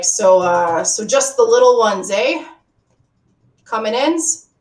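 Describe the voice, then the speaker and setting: A woman puts on a raspy character voice, fairly high in pitch. She speaks at a fairly slow pace with very wide pitch swings. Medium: actual play. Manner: rough, ungrammatical speech.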